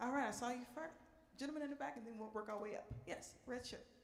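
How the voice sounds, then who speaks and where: Audible room echo hangs around this voice. The speaker is a woman. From New Orleans. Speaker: park ranger and jazz singer. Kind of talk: Q and A with live audience. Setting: stage with audience in performance room.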